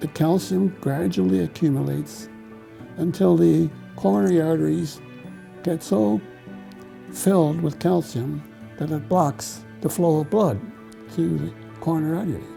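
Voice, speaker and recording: A man with a medium-pitched voice speaks at a moderate pace over background music, his pitch swinging very widely between long, frequent pauses. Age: 80s+. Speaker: lipid researcher, professor emeritus. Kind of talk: interview answer.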